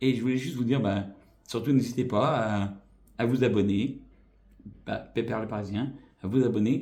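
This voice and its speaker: In a room with audible echo, a man with a dark, mellow, somewhat breathy tone talks at a moderate pace, leaving long, frequent pauses. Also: medium pitch for a man, fairly even intonation. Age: 40s. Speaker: YouTuber. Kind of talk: vlog channel introduction. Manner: hesitant, many fillers.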